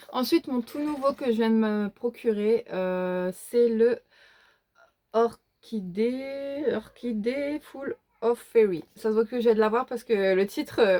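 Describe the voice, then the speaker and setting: Very slow speech from a woman, fairly high in pitch with ordinary pitch variation, in a dry, close sound with no echo. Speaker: YouTuber showing her coloring book collection. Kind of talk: casual show-and-tell video. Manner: hesitant, many fillers.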